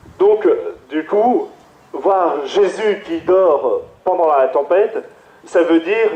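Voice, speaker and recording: A man speaks at a very slow pace with audible room echo and noticeable background noise. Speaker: priest. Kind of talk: sermon. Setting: PA system. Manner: halting.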